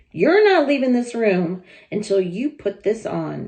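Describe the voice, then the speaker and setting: A woman puts on a character voice, raspy and medium in pitch. She speaks at a fairly slow pace. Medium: read story. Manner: scornful, bossy.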